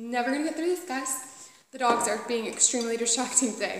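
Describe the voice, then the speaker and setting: Speaking at a fairly quick pace, a woman uses ordinary pitch variation. Noticeable background noise and audible room echo are in the recording. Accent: strong Southern US. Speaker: knitting podcaster. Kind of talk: casual chat. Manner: animated.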